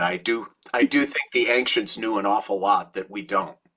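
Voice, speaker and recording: A bright, sharp tone at a moderate pace. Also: man. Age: 60s. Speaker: rabbi. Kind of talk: talk to grief support group. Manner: halting, with frequent repetitions.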